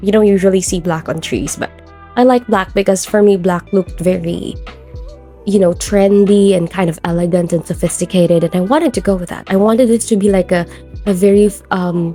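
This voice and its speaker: Music plays in the background as a woman of medium pitch speaks at a fairly quick pace with fairly even intonation. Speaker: game YouTuber. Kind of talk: casual gameplay build commentary.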